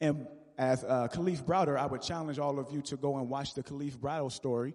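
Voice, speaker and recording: This man has an unremarkable speaking voice, pitched fairly high. He talks at a fairly quick pace. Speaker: spoken word poet and community organizer. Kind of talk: spoken word performance; panel talk. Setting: stage with audience.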